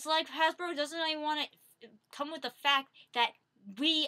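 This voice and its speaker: A woman's raised, projected voice, high in pitch, with a bright, sharp tone, a moderate pace and a quiet background. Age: 20s. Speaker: vlogger. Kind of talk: casual product review vlog. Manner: animated, frequent laughter. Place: home room. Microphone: webcam.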